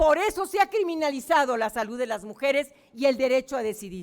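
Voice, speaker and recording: Recorded very cleanly against a silent background, a woman with a high pitch sounds animated at a moderate pace. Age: 60s. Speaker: senator. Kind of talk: press conference. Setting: press conference room.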